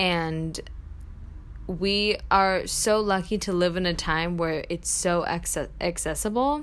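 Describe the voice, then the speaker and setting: A woman talks very slowly, with ordinary pitch variation. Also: fairly low pitch for a woman. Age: 20s. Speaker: podcast host, college student. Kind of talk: casual solo podcast monologue. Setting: home apartment. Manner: chatty, lots of filler 'um'.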